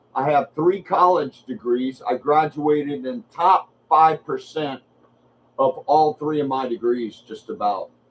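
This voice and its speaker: Speaking at a fairly slow pace, a man with fairly high pitch shows ordinary pitch variation. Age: 60s. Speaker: streamer doing fight watch-along. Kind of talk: live fight commentary watch-along. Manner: casual, halting with fillers.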